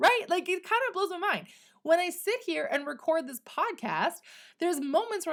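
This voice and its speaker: A woman speaks in an animated tone in a very clean recording with a silent background. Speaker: podcast host and business coach. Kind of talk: solo podcast monologue. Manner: occasional stutter.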